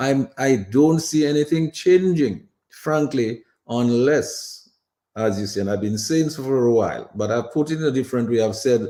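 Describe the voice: With lively intonation, a man speaks in a dark, mellow tone. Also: medium pitch for a man, moderate pace.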